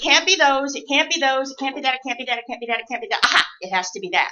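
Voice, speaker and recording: A woman's voice, high in pitch. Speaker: nurse educator. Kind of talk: lecture.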